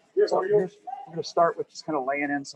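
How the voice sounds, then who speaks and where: The man speaks loudly with fairly even intonation. There is light background noise. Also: dry sound with no echo. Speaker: painting instructor. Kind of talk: tutorial. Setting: outdoors. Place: street. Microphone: phone mic, too quiet; phone near.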